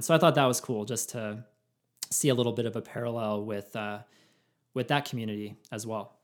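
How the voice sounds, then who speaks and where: In a normal speaking voice, a man speaks at medium pitch and a fairly quick pace, with fairly even intonation. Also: big swings in loudness. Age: 30s. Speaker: podcast host. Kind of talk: casual chat. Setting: video call.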